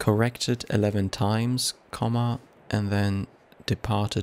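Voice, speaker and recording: With a non-native accent, a man speaks very slowly in a fairly low voice. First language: not English. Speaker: let's play gamer. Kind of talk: gameplay commentary. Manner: halting, self-correcting.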